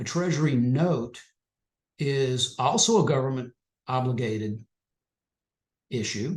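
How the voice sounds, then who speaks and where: Somewhat breathy, a man speaks at a fairly slow pace with medium pitch, ordinary pitch variation and long, frequent pauses. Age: 60s. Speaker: financial educator presenting on trading. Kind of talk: webinar presentation. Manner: casual, with fillers and repetitions.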